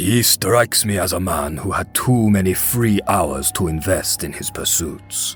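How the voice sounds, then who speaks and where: Using a put-on character voice with a very deep, low pitch, a man speaks at a moderate pace over clear music in the background. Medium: fan dub. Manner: dry, terse.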